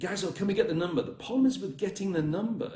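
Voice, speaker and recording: Amid audible room echo, a man talks at a high pitch. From northern England, Northumberland. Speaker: dating coach. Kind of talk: livestream coaching talk. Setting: live video stream. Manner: fast.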